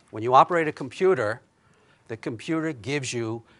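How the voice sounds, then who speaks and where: A man speaking at a moderate pace with a slight New Jersey accent and ordinary pitch variation. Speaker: psychologist and keynote speaker. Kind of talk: keynote talk.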